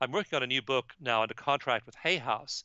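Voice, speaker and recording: The man's pitch is medium, with ordinary pitch variation. He talks at a fairly quick pace. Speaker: author. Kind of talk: podcast interview. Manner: fast.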